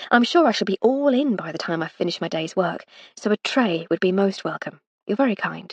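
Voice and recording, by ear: In a quiet background, someone is reading aloud in a natural voice with lively intonation.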